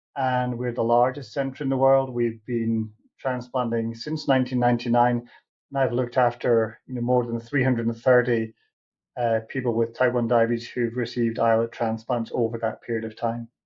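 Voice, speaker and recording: A British-accented man at a medium pitch and moderate pace, with monotone, flat intonation. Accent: British, noticeable. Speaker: diabetes doctor and researcher. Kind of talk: interview.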